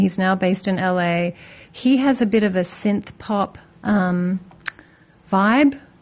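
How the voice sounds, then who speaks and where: This woman's voice is medium in pitch and somewhat breathy. She speaks fairly slowly with lively intonation. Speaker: music streaming company rep. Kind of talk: casual chat.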